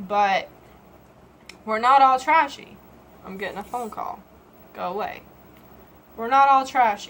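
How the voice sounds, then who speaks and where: A woman with a strong Southern US accent speaks in a high voice with lively intonation. Her pace is fairly slow, broken by long, frequent pauses. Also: big swings in loudness. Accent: Southern US, heavy. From Georgia, US South. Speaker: vlogger. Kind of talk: casual vlog monologue. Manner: halting.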